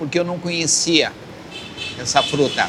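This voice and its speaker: A man's fairly high pitch stands out against noticeable background noise. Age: 70s. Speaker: shop owner. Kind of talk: interview.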